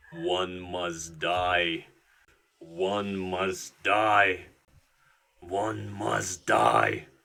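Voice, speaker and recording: A man puts on a raspy character voice with very deep, low pitch. He speaks at a very slow pace with long, frequent pauses. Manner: eerie.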